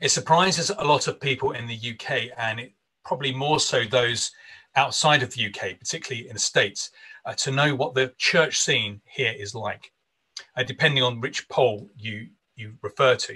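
A man speaks with a bright, sharp tone and ordinary pitch variation. His loudness swings widely. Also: moderate pace, quiet background. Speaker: minister hosting an online conference. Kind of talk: conference host introduction and prayer. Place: home room. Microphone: video call.

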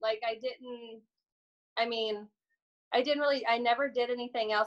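Against a quiet background, a woman speaks at a fairly quick pace. She has an American accent and a fairly high pitch. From US Midwest. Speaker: podcast guest. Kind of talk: casual chat. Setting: video call. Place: home room. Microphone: video call.

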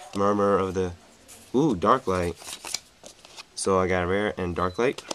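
A man's very deep, low voice at a fairly slow pace, with ordinary pitch variation and light background noise. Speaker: card game youtuber. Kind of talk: unboxing commentary. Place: home room. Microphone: webcam.

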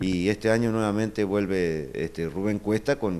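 His delivery moves at a moderate speed. The man's pitch rises and falls in an ordinary way. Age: 40s. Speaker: folk dance troupe director. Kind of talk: interview. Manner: halting, many fillers. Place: home room. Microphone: video call.

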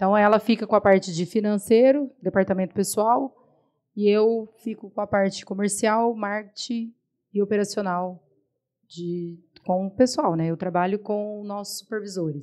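A woman's dark, mellow tone with fairly even intonation over a quiet background. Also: moderate pace. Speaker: supermarket owner; podcast guest. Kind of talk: interview. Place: studio. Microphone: studio mic.

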